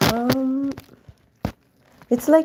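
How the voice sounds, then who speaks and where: A woman with an Indian accent and ordinary pitch variation. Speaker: live-stream drawing host. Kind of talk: casual live stream chat. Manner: thinking aloud, hesitant.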